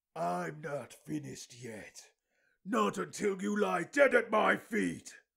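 A man puts on a character voice with a fairly high pitch. His pitch swings very widely at a fairly slow pace. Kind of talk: character voice challenge. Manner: menacing, building to screaming.

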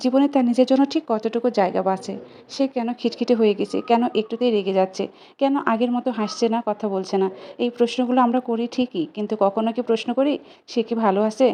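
A woman's fairly high voice, dark and mellow in tone, with fairly even intonation. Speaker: vlogger, new mother. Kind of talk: vlog voiceover narration.

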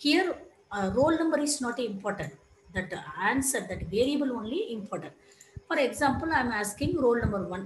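A woman's high voice makes very wide pitch swings over light background noise and audible room echo. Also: fairly quick pace. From India. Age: 40s. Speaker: lecturer. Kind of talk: lecture. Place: home room. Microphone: headset.

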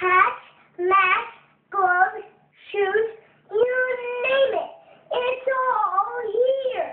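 In an extremely high-pitched put-on character voice, the speech goes at a very slow pace with long, frequent pauses. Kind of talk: game tutorial announcer. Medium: video game. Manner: upbeat, salesy.

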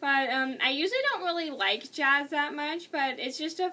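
A woman speaks in a raised, projected voice at a fairly slow pace. Her tone is bright and sharp. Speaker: video blogger movie reviewer. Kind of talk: casual monologue video. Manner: casual, slightly rambling. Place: home room. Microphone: webcam.

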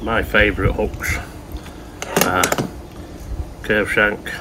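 A slow, bright, sharp-toned male voice over faint background noise.

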